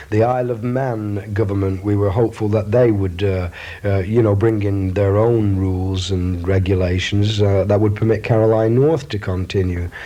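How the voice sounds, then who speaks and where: A man speaks at a moderate pace in a fairly low voice, with noticeable background noise behind him. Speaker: radio DJ. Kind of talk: interview answer.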